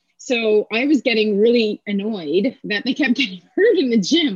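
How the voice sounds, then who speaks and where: A woman's unremarkable speaking voice with a Canadian accent, fairly high in pitch, with lively intonation. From Canada, Kingston, Ontario. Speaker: athletic therapist and strength coach. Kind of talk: casual interview.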